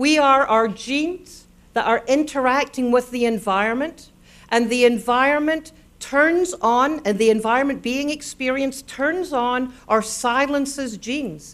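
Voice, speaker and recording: A woman speaks in a Scottish accent with a high pitch. She goes at a fairly slow pace. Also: ordinary pitch variation. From Scotland. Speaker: neuroscience speaker. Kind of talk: public lecture. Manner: animated.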